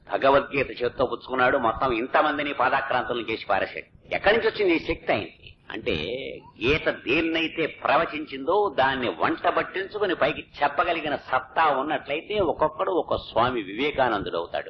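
Noticeable background noise sits behind this recording. A man speaks at a fairly high pitch with lively intonation. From Andhra Pradesh, India. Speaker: radio broadcaster and religious discourse speaker. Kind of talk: religious discourse.

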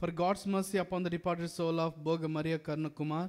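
Over a quiet background, a man speaks in a fairly high pitch. His intonation is flat and monotone. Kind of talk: sermon in a Mass. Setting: church during Mass. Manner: earnest, impassioned preaching. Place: church. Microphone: podium.

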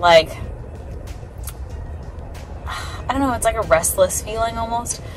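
A woman's fairly high voice at a slow pace with ordinary pitch variation, audible room echo and clear music in the background

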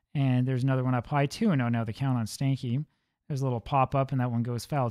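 A man talks at a very fast pace in an animated tone. Behind him the background stays quiet. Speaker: game replay host. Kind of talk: live-style sports commentary, play-by-play of a baseball replay. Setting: video channel, recorded narration over a game replay. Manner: rapid-fire, matter-of-fact play-by-play, calling each pitch and count in a steady rhythm; mildly animated, with filler 'uh' and 'um' now and then.

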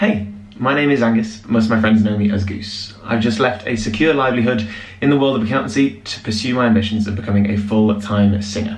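A man's voice at a fairly quick pace, with fairly even intonation, audible room echo and light background noise. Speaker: vlogger. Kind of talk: casual vlog chat. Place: home room. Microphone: webcam.

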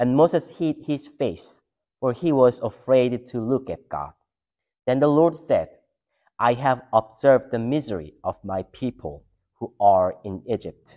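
A man's dark, mellow voice at a fairly slow pace, over a quiet background. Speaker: pastor or scripture reader. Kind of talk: scripture reading. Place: church.

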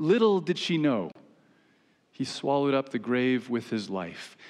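A man with a medium pitch speaks at a fairly slow pace, his intonation lively.

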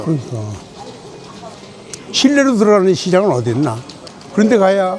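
With noticeable background noise behind him, a man talks at a fairly quick pace in a high pitch with very wide pitch swings. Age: 80s+. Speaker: actor. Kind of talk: casual talk at a market.

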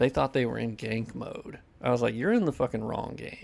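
A man speaks at a moderate pace and medium pitch, his slightly mellow tone marked by nasality and vocal fry.

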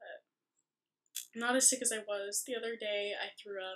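A soft-spoken woman. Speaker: vlogger. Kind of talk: casual vlog. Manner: rambling. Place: home room. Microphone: webcam.

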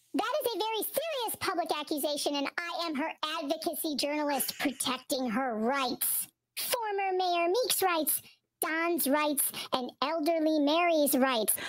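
A squeaky, high-pitched put-on character voice speaks at a moderate pace. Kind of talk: stiff, serious. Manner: mocking, put-on voice.

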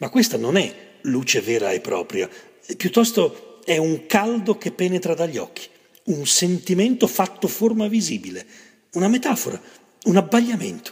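A man's high-pitched voice with lively intonation, a moderate pace and long, frequent pauses. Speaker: poetry reader. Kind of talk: poetry reading.

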